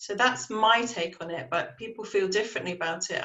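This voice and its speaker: Speaking with an English accent, the voice moves at a moderate pace with fairly even intonation. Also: woman. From England, Dorset. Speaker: panelist. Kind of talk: panel discussion.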